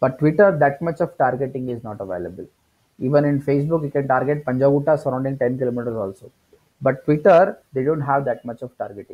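Very fast speech from a fairly high-pitched man with an Indian accent, ordinary pitch variation, and big swings in loudness. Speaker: digital marketing trainer. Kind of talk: tutorial. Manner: hesitant with many fillers.

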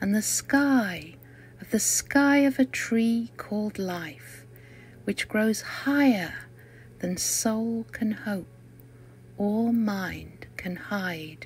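Woman with a British accent, medium pitch and lively intonation, somewhat breathy at a very slow pace. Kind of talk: poetry reading.

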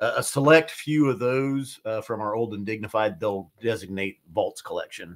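Here a man speaks at a moderate pace with hardly any pauses. He has a normal speaking voice and ordinary pitch variation. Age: 50s. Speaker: whiskey society representative, reviewer; reviewer. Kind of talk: live stream casual chat. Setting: studio. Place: studio.

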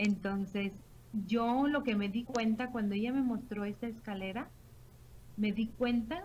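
Against light background noise, a woman speaks fairly slowly with long, frequent pauses. Her tone is dark and mellow, somewhat breathy, with ordinary pitch variation. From Mexico, Morelia, Michoacán; Michoacán, Mexico. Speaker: direct sales team leader. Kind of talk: sales pitch. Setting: online video call. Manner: halting, many fillers. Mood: enthusiastic, persuasive. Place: home room. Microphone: webcam.

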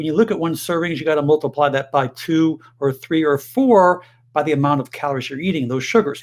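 The voice belongs to a man. Pitch variation is ordinary. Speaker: health educator. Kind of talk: health advice monologue to camera. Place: home room.

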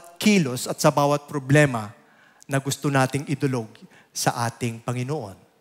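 A man speaks over a quiet background. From Philippines. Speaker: lay preacher. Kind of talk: sermon. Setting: church. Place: church. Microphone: headset.

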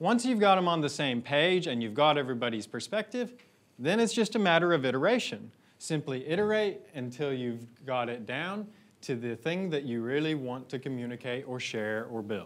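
The man's pitch swings very widely while he keeps a moderate pace. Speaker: conference speaker. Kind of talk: conference talk. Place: hall.

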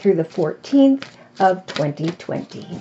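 A woman is speaking. Light background noise is present. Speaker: tarot reader. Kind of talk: tarot reading monologue. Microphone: phone near.

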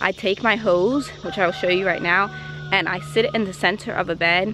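A woman speaks in a fairly low pitch. The sound is dry with no echo, though background noise is noticeable. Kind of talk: casual vlog chat. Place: garden. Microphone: phone near.

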